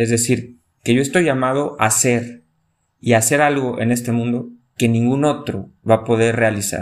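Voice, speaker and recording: A man's medium-pitched voice, an unremarkable speaking voice, at a moderate pace with fairly even intonation. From Mexico, León, Guanajuato. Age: 30s. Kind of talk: casual chat.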